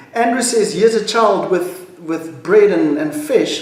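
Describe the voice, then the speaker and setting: A man talks at a moderate pace with ordinary pitch variation, with noticeable background noise and audible room echo. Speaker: pastor. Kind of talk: devotional talk.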